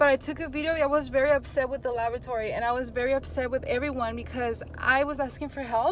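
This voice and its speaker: A woman talks loudly at a fairly quick pace, high-pitched with ordinary pitch variation. Noticeable background noise sits behind her. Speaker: phlebotomist and YouTuber. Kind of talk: casual vlog talk to camera. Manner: animated.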